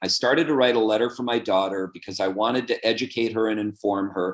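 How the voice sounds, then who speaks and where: Medium in pitch, a man's voice shows ordinary pitch variation. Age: 60s. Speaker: author and lawyer. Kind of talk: interview. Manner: animated.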